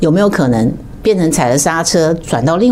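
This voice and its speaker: A woman with a Taiwanese accent at a moderate pace, her pitch swinging very widely, with audible room echo and noticeable background noise. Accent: Taiwanese Mandarin. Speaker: political commentator. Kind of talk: political commentary livestream.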